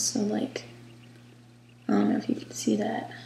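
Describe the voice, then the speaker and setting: The voice is soft-spoken. There is noticeable background noise. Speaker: doll artist. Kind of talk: craft demonstration.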